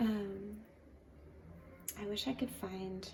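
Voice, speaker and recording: A soft-spoken woman talks at a very slow pace. Audible room echo and noticeable background noise surround her voice. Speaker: watercolor artist. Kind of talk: tutorial.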